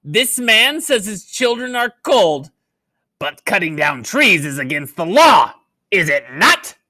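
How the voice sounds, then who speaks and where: A put-on character voice speaks at a fairly slow pace with fairly high pitch. The pitch swings very widely. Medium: read story. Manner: cruel, imperious.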